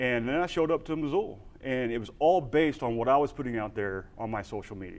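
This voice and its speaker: With a Texan accent, a man talks at a medium pitch with lively intonation. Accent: Texan drawl. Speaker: veteran and humanitarian aid worker. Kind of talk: conference talk, casual. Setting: stage with audience.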